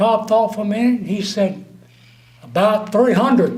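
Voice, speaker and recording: The man speaks at a moderate pace. Audible room echo fills the recording. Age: 70s. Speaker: speaker at awards luncheon. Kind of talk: after-dinner speech with jokes.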